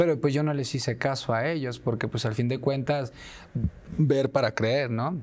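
A man's voice at a moderate pace, with fairly even intonation. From Guadalajara, Jalisco, Mexico. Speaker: clown entertainer; interview guest. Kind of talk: interview. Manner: halting with repetitions. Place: studio. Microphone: lapel.

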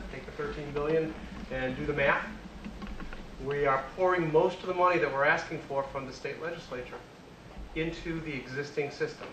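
Over noticeable background noise, a man with a fairly high pitch speaks at a fairly quick pace, with fairly even intonation and long, frequent pauses. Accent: American. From Worcester, Massachusetts. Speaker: state transportation finance official. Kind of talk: lecture. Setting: stage with audience.

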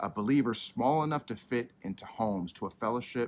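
Talking at a fairly quick pace, a man lets his pitch vary in an ordinary way. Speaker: church pastor. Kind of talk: sermon. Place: garden.

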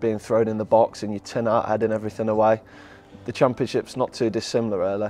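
The man's dark, mellow voice runs at a fairly quick pace in a monotone, flat intonation, with a dry sound and no echo. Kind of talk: interview answer. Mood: relaxed, reflective, proud. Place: hall. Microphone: lapel.

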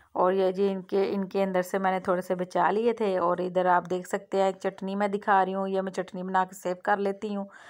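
At a fairly quick pace with few pauses, a woman speaks in a medium pitch and a slightly mellow tone. Her intonation is monotone and flat.

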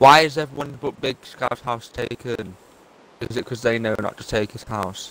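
The loudness swings widely while pitch varies in an ordinary way, delivered at a moderate pace with a dry sound and no echo. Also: man. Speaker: gamer. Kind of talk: casual chat. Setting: video call. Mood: playful, mildly exasperated teasing.

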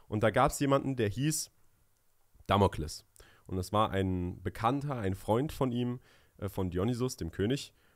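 Against a quiet background, a man speaks with a fairly low pitch and ordinary pitch variation. His pace is moderate, broken by long, frequent pauses. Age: 20s. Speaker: podcast co-host, young entrepreneur; podcast co-host. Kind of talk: casual chat. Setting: studio. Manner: hesitant, many fillers. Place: studio. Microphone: studio mic.

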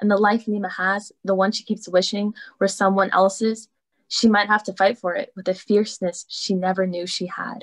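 A woman speaks at a moderate pace with an American accent. The background is quiet. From Northern Virginia. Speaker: co-host, university fellow. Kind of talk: casual hosting. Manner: animated, enthusiastic. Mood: warm, admiring. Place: home room. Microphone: video call.

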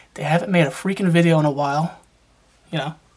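A man talks with a bright, sharp tone. His pitch varies in an ordinary way.

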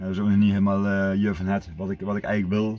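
At a very fast pace, a man with a fairly low pitch speaks in a monotone, flat intonation, the sound dry with no echo. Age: 50s. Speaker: vlogger. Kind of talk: casual vlog monologue. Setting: outdoors in the woods. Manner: halting, many fillers and repetitions. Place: car. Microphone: phone near.

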